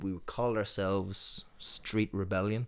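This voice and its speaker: A man with an Irish accent speaks at a fairly slow pace and a fairly low pitch. His intonation stays fairly even, and the recording is very clean with a silent background. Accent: Tuam Irish. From Ireland, Tuam, County Galway. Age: middle-aged. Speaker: singer-songwriter. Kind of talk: casual chat.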